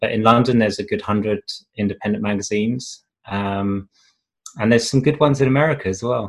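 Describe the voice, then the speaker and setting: At a very fast pace, a man with a New Zealand accent speaks at medium pitch with ordinary pitch variation. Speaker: magazine publisher and lecturer. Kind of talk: casual interview chat. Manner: hesitant, many fillers.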